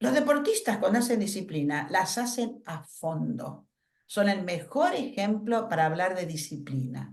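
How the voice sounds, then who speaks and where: A woman speaks at a fairly slow pace with vocal fry, her medium pitch making very wide swings. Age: 70s. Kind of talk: workshop talk.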